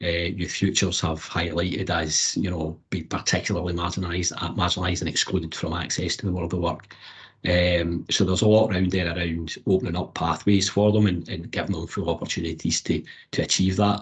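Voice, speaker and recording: Speaking at a fairly quick pace with a Scottish accent, a man with a very deep, low pitch sounds somewhat breathy and keeps a monotone, flat intonation. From Scotland. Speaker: apprenticeship support advocate. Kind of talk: panel discussion.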